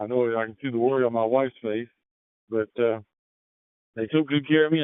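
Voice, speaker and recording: A man talks at a fairly quick pace. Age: 60s. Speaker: amateur radio operator. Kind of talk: radio net check-in. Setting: radio transmission.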